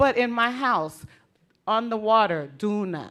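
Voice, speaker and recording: Animated in tone with lively intonation, a woman with an American accent speaks at a fairly high pitch. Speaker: conference speaker, Garifuna parent. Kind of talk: conference speech.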